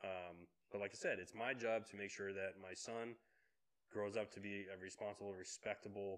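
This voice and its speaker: Here a man speaks in an ordinary speaking voice with a fairly low pitch. His intonation is fairly even and his pace moderate. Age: 30s. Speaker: podcast co-host. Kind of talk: casual chat.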